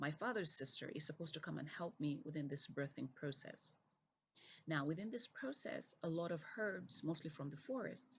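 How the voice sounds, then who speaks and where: A somewhat breathy woman's voice at a very deep, low pitch, with very wide pitch swings and a moderate pace. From Zambia. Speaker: keynote speaker, UN development director. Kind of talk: recorded keynote video message.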